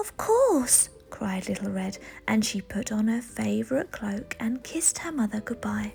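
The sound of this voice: The text is read in an unforced reading voice. Nothing about the delivery is pushed.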